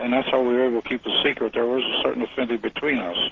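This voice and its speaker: A man speaks over noticeable background noise. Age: 80s+. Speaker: retired army officer and author. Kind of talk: radio interview.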